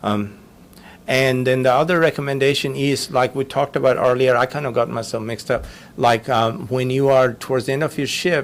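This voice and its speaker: At a fairly quick pace, a man speaks in a normal speaking voice, medium in pitch with fairly even intonation. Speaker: physician lecturer. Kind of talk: lecture.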